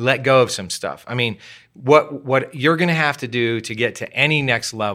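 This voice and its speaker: The tone is bright and sharp, with ordinary pitch variation and a moderate pace on a very clean recording with a silent background. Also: man. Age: 60s. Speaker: pastor. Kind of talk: casual interview.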